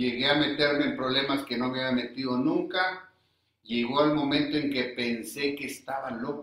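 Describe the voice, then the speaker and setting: This man has a fairly high pitch and fairly even intonation. It is an unremarkable speaking voice. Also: moderate pace. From northern Mexico, Coahuila and Monterrey. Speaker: recovering alcoholic, AA member. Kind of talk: personal testimony.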